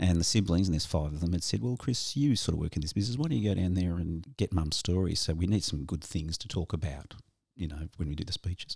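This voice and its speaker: Talking at a very fast pace with an Australian accent, a man with a very deep, low pitch sounds somewhat breathy and uses lively intonation. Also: very clean recording, silent background. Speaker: podcast host. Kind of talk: casual chat.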